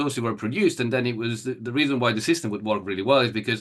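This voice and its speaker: The speaker has an Italian accent and shows ordinary pitch variation. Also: man. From Italy (Turin). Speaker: event rider. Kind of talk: interview. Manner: halting, many fillers.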